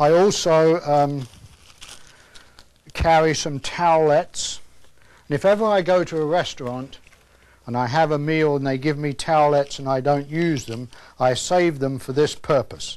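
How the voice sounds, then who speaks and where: A man with a British accent at a moderate pace, ordinary pitch variation, and long, frequent pauses. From England. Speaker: earthquake survival instructor. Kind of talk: instructional presentation. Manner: homespun, conversational. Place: studio.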